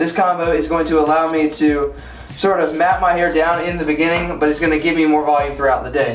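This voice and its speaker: A man talks at a very fast pace in a fairly high pitch with monotone, flat intonation. Audible room echo and noticeable background noise surround him. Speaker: men's grooming YouTuber. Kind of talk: tutorial.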